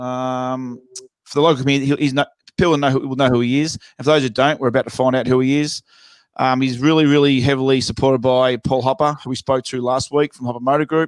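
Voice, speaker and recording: A man talks at a very fast pace with an Australian accent and a medium pitch. His intonation is monotone and flat, in a dry, close sound with no echo. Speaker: podcast host. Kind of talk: casual chat.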